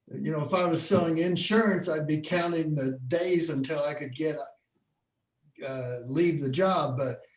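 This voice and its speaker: At a moderate pace, a man talks in a fairly high pitch with ordinary variation. Room echo is audible around him. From Bloomington, Indiana. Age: 60s. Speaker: photographer. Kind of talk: online career panel talk.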